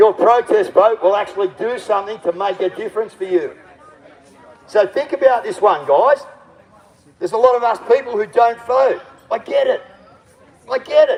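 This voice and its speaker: An animated man with an Australian accent, plus noticeable background noise. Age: 60s. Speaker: political candidate and activist livestreamer. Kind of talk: outdoor rally speech to livestream. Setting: outdoors at a protest.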